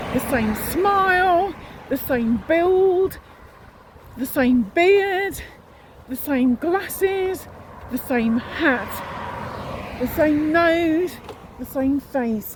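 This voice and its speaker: A woman with a Yorkshire accent and an extremely high pitch, lively intonation at a very slow pace, long, frequent pauses, and noticeable background noise. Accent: northern English (Yorkshire). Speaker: vlogger. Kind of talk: casual video diary.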